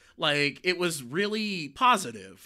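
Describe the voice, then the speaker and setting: Sharp and bright, the tone stands out. Behind it, the recording is very clean and the background silent. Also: man. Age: adult. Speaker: YouTube creator. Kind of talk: personal confession vlog. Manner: halting, stuttering, rambling.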